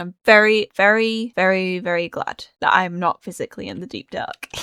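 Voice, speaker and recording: Speaking in a British accent, a woman keeps a medium pitch, a moderate pace and fairly even intonation. The sound is dry and close with no echo. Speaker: gaming youtuber. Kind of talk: gameplay commentary.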